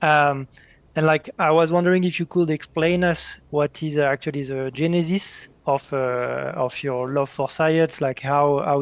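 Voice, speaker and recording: With a French accent, a man speaks in a fairly high pitch and monotone, flat intonation, hardly pausing, in a dry, close sound with no echo. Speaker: interviewer, researcher. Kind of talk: interview. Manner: halting.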